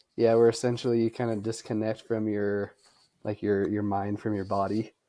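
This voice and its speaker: Soft-spoken and monotone, a man talks at a moderate pace in a fairly low, dark, mellow voice with flat intonation, on a very clean recording with a silent background. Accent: American. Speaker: ultrarunner and running coach. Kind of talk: casual interview chat. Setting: podcast recording.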